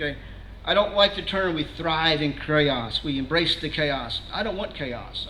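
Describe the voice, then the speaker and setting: Against noticeable background noise and audible room echo, a man talks at a fairly high pitch with ordinary pitch variation. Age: 60s. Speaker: security trainer, guest speaker. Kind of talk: presentation to a meeting audience. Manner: conversational, frequent filler words and restarts.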